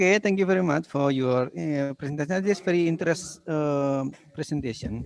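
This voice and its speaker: A fairly quick man's voice in an Indonesian accent, fairly high in pitch. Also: ordinary pitch variation. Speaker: session moderator. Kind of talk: conference Q&A moderation. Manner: halting.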